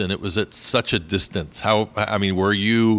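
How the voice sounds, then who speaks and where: In an unremarkable speaking voice, a man talks at a moderate pace with fairly low pitch and fairly even intonation. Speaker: travel podcast host. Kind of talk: casual interview. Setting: breakfast nook at a hotel.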